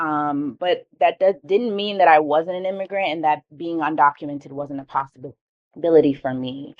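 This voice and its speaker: Heard in a dry, close sound with no echo, a woman with a strong New York accent talks with lively intonation. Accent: thick New York. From New York City, Harlem. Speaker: keynote speaker. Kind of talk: keynote talk.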